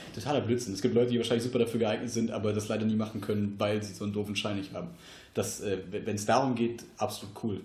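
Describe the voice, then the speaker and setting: The speaker talks very fast in a monotone, flat intonation, somewhat breathy, with audible room echo. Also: man, fairly low pitch for a man. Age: 20s. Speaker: podcast host. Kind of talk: casual chat. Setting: home podcast studio.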